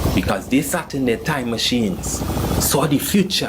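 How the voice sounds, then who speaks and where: With lively intonation and a fairly slow pace, a man talks as noticeable background noise continues behind him. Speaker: spoken word poet. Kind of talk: spoken word poetry performance.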